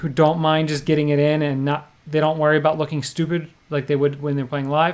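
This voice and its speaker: A man's fairly high voice at a moderate pace, in a monotone, flat intonation. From New Jersey. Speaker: poker vlogger and livestream host. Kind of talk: casual chat. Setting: livestream.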